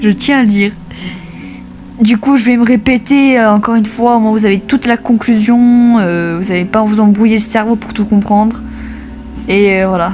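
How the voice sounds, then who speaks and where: Music plays in the background while the speaker goes at a moderate pace. The intonation is fairly even, with long, frequent pauses. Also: woman, fairly high pitch for a woman. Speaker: gaming YouTuber. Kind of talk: vlog update to viewers. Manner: halting, many fillers.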